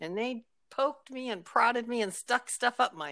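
In a very clean recording with a silent background, a woman with a fairly high, bright, sharp voice and vocal fry speaks at a moderate pace, her pitch swinging very widely. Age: 60s. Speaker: grandmother guest, podcaster. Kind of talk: casual chat.

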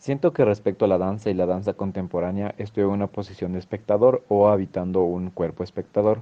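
Fairly low in pitch, a man with an unremarkable speaking voice talks at a fairly quick pace with hardly any pauses. His intonation stays fairly even. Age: 20s. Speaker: dance student. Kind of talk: scripted narration.

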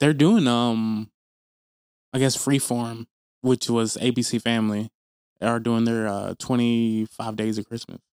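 Speaking in an American accent at a medium pitch, a man talks at a fairly slow pace, with long, frequent pauses and a monotone, flat intonation. The sound is dry and close with no echo, and the recording is very clean, with a silent background. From US South, Tennessee. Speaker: podcast co-host. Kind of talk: casual chat.

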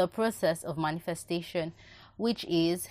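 In a very clean recording with a silent background, a woman talks with a Nigerian accent. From Nigeria (Yoruba). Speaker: book reviewer, podcast host. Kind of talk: book review monologue. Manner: repetitive, emphatic.

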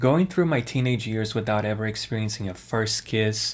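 This man has a normal speaking voice at a medium pitch. His intonation stays fairly even. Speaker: podcast host. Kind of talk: scripted narration.

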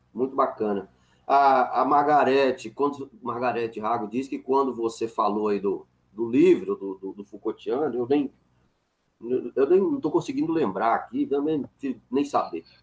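A man talks at a moderate pace in a normal speaking voice, his pitch medium and its variation ordinary. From northern Minas Gerais, Brazil (Montes Claros). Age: 40s. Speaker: philosophy professor, channel host. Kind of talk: casual chat, interview.

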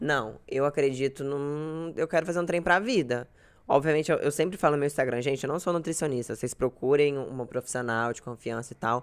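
Speaking at a fairly quick pace, a woman uses a very deep, low pitch with ordinary variation in it. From Goiás, Brazil (Uruaçu). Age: 20s. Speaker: blogger. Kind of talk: casual chat. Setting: live video stream.

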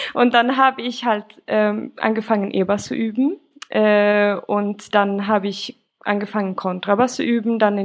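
The woman talks at a moderate pace. Her intonation is fairly even. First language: Swedish (speaking German). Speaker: musician and bassist. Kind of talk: podcast interview.

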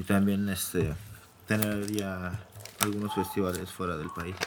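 A man's fairly low voice at a fairly slow pace, fairly even in intonation, against noticeable background noise. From Mexico City. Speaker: electronic music DJ and producer. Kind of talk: casual interview.

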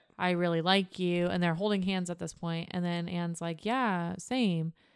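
A woman speaks at a moderate pace with a fairly low pitch and a plain, everyday voice. The recording is very clean, with a silent background. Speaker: podcast co-host. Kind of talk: casual chat. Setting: studio.

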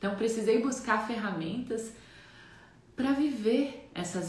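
A woman talks at a fairly slow pace. Room echo is audible and background noise is noticeable. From Santa Catarina, Brazil (Jaraguá do Sul). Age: 30s.

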